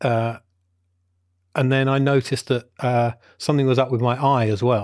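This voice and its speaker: Mumbling in a medium pitch, a man speaks with monotone, flat intonation and very even loudness on a very clean recording with a silent background. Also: moderate pace. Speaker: film podcast co-host. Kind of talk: casual chat.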